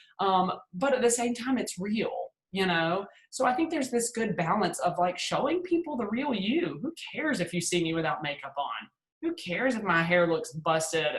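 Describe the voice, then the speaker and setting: A somewhat breathy voice with a Southern US accent talks at a moderate pace, its pitch swinging very widely. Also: woman, medium pitch for a woman. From US South, Hattiesburg, Mississippi. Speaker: PR agency founder and speaker. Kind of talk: webinar presentation. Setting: video call. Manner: casual, filler-heavy.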